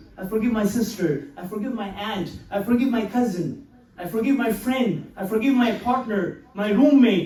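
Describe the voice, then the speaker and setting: A man with a Pakistani accent speaks at a moderate pace, his pitch high with ordinary variation. The recording has audible room echo and noticeable background noise. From Pakistan, Karachi. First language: Urdu. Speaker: imam. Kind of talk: sermon. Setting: mosque.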